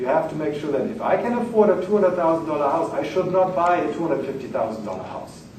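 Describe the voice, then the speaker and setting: With a German accent, a man races along at a very fast pace with lively intonation, amid audible room echo and noticeable background noise. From Germany. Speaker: finance lecturer. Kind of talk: lecture.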